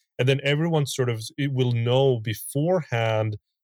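The recording is very clean, with a silent background and a dry, close sound with no echo. A man has an unremarkable speaking voice at a medium pitch, with ordinary pitch variation and a moderate pace. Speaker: podcast host. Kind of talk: casual interview chat.

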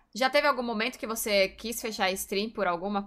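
In an ordinary speaking voice, a woman talks fairly quickly at a medium pitch with ordinary pitch variation, on a very clean recording with a silent background. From Brazil, São Paulo. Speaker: streamer and interview host. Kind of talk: casual interview chat.

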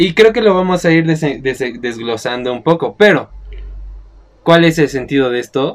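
A man with a plain, everyday voice speaks in a fairly high pitch. His pace is moderate and his intonation lively. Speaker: film podcast host. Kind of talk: casual chat.

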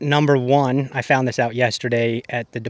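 A man in a plain, everyday voice, with an American accent and medium pitch, speaks at a moderate pace with fairly even intonation in a very clean recording with a silent background. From Colorado. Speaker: professional disc golfer. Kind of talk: casual interview chat.

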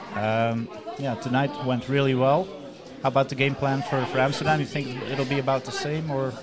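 A man with a Dutch accent, medium pitch and fairly even intonation at a fairly quick pace, amid crowd noise and audible room echo. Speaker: sports podcast host. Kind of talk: post-game interview. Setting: stadium.

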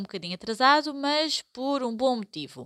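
A woman's bright, sharp tone with very wide pitch swings at a moderate pace, on a very clean recording with a silent background. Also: dry, close sound with no echo. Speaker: podcast host, Portuguese teacher. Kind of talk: educational podcast chat.

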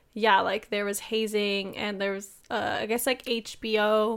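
A woman with an American accent speaks at a fairly high pitch and fairly slow pace in a monotone, flat intonation, recorded very cleanly against a silent background. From United States. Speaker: podcast co-host. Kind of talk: casual chat.

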